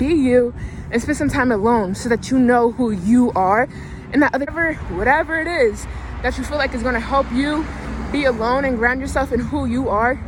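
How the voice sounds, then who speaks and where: Noticeable background noise accompanies moderately paced speech with an American accent. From Philadelphia. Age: 20s. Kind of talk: casual motivational talk to camera. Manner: casual, profane, chatty.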